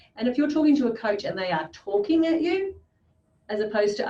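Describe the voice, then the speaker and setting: A woman speaks very fast in an Australian accent. Her pitch swings very widely. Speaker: business coach. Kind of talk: interview.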